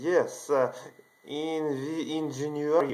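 A man's voice at a fairly high pitch. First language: not English. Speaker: video channel creator. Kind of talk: monologue telling a personal story to camera. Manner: halting. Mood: earnest, excited. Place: home room. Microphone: webcam.

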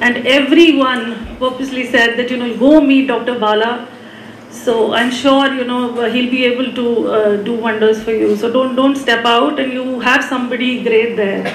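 A woman's high-pitched, monotone voice at a moderate pace, flat in intonation, with audible room echo and light background noise. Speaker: mother of a heart transplant patient. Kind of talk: personal testimony. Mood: grateful, emotional, warm. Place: hall. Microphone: podium.

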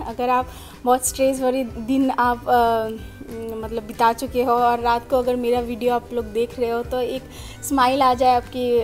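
Over faint music in the background, a woman talks at a fairly slow pace with monotone, flat intonation. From Assam, India. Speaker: vlogger. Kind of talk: casual vlog talk to camera. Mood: warm, friendly. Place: home room. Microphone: phone near.

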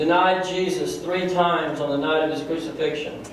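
There is strong room echo around a man with a high-pitched voice. Light background noise can be heard too. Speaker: pastor. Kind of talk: sermon delivered to a congregation. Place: church.

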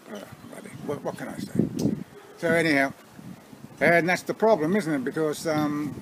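Over noticeable background noise, a man with an Australian accent talks at a moderate pace in a fairly high pitch, with ordinary pitch variation and long, frequent pauses. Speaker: vlogger. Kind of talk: casual talk to camera. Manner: hesitant, umming and ahing. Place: garden. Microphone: phone near.

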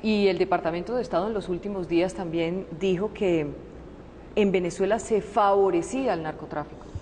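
This woman speaks at a moderate pace in a dark, mellow tone of medium pitch, with fairly even intonation over light background noise. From Colombia. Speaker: journalist. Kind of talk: interview. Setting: presidential palace. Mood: composed, probing.

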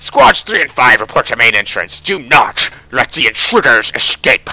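A man performs in a put-on character voice. His pitch sits at a medium level. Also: moderate pace. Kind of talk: radio-style military report. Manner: gruff, clipped, military.

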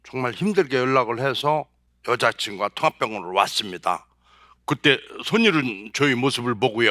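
A man's medium-pitched voice with a bright, sharp tone and lively intonation at a moderate pace, dry and close with no echo, in a very clean recording over a silent background. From South Chungcheong, Korea. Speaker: motivational speaker, former marketing executive. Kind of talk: motivational talk. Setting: stage with audience.

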